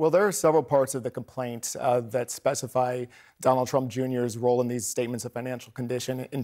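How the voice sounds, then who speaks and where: Speaking in an unremarkable speaking voice, a man of medium pitch keeps a fairly quick pace and fairly even intonation. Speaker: legal reporter. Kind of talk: news interview.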